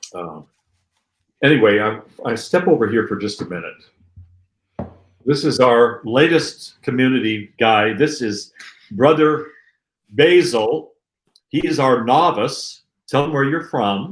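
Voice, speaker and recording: A quiet man at a medium pitch, with lively intonation, a fairly slow pace, and long, frequent pauses. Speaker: Orthodox abbot. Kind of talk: interview. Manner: quieter.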